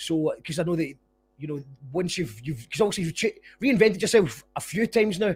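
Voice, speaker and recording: A man talks fairly quickly, his high voice carrying lively intonation. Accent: Scottish. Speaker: podcast host. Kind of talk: casual interview chat.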